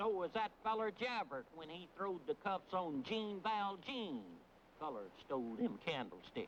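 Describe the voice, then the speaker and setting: A put-on character voice, drawling at a moderate pace with very wide pitch swings, over clear background noise. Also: man, high pitch for a man. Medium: short film. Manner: folksy drawl, ungrammatical.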